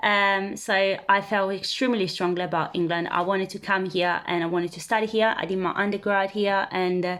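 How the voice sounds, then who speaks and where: Her intonation is monotone and flat as a woman talks at a fairly quick pace. She has an Italian accent and a medium pitch. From Italy. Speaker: vlogger. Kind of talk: casual self-introduction to camera. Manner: hesitant, many fillers.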